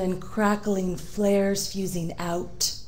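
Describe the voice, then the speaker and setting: At a very slow pace, a woman speaks at medium pitch in a flat monotone, with audible room echo. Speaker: poet. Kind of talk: poetry reading; casual introduction.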